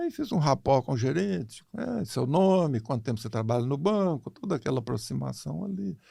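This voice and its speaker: Moderately paced male speech at a medium pitch, swinging very widely in pitch. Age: 80s+. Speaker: financial consultant. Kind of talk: casual interview storytelling. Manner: animated.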